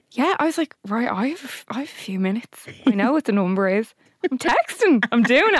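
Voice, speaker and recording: Talking at a fairly quick pace with an Irish accent, a woman speaks at a high pitch in a dry, close sound with no echo. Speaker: podcast co-host. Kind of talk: casual chat.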